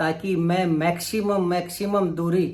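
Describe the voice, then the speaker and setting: With audible room echo around him, a man speaks in a high pitch. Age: 60s. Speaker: vlogger. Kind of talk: vlog monologue. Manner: halting.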